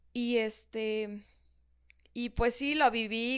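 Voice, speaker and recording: A woman speaks at a fairly high pitch in a monotone, flat intonation. The background is quiet. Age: 20s. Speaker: medical student. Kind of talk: casual chat. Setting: morning recording.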